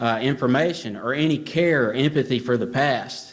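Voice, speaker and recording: In a Southern US accent, a man speaks at a medium pitch with ordinary pitch variation, with audible room echo around him. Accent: Southern US drawl. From Alabama. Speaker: author and history researcher. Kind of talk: conference talk. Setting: stage with audience. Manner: hesitant, many fillers.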